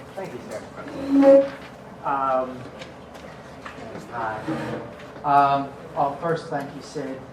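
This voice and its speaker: A man with an American accent talks very slowly in a fairly high voice, with fairly even intonation, long, frequent pauses and big swings in loudness. Noticeable background noise and audible room echo fill the recording. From Long Island, New York. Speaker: political candidate. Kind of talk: candidate forum speech. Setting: public forum with audience. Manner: halting.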